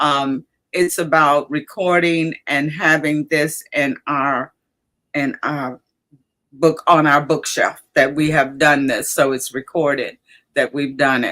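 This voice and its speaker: Delivered at a very slow pace, a woman's very deep, low voice in an Alabama accent has a bright, sharp tone and monotone, flat intonation. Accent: Southern US (Alabama). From US South, Alabama. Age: 70s. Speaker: livestream host. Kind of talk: casual chat. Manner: halting.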